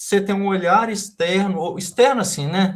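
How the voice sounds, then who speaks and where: A man is speaking. His voice sits at a high pitch. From Brazil, interior of Minas Gerais. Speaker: professor, examination committee member. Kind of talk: academic thesis examination feedback.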